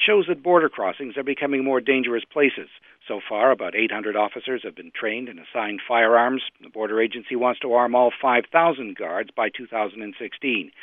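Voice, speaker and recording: Here is a normal speaking voice. Its pace is fairly quick. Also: man. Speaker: radio reporter. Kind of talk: news reading, scripted report filed for radio. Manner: formal, measured, even-paced.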